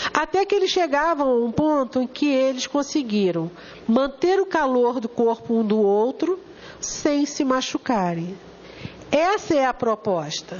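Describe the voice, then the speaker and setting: A woman with a Brazilian accent speaks at a fairly slow pace and a high pitch, with very wide pitch swings and very even loudness. Noticeable background noise runs underneath. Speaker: spiritist lecturer. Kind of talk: lecture. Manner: animated.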